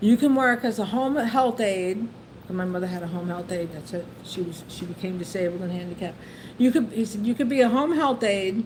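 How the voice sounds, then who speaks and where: A woman with a New York accent talks at a fairly quick pace in a medium pitch. Her tone is animated and her intonation lively. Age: 60s. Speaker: YouTuber, retired civil service worker. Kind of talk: casual storytelling livestream. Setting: livestream. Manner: halting, repetitive.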